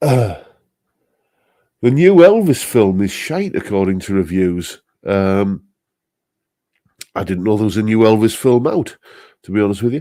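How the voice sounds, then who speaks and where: With fairly low pitch and lively intonation, a man talks at a moderate pace, leaving long, frequent pauses. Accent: Northeast English. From northeast England. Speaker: guitarist and live stream host. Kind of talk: casual chat reading live comments. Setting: live stream. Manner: relaxed, many fillers.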